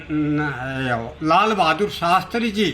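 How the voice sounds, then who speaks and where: This is a man's voice. It comes out raised and projected. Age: 70s. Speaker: retired clerk and election candidate. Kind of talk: news interview. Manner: halting.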